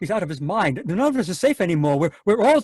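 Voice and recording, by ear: In a put-on character voice, a man speaks fast at a high pitch with big pitch swings, a slightly mellow tone and a slightly husky edge, recorded dry and close with no echo.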